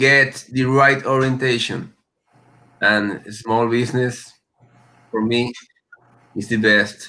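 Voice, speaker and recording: A man's bright, sharp tone at a very slow pace, with monotone, flat intonation and long, frequent pauses. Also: medium pitch for a man. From South America. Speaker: locksmith business owner. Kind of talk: panel discussion. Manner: halting.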